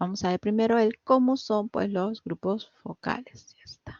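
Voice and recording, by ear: Her voice sits at a medium pitch with a slightly mellow tone, moving at a fairly slow pace with ordinary pitch variation in a dry, close sound with no echo.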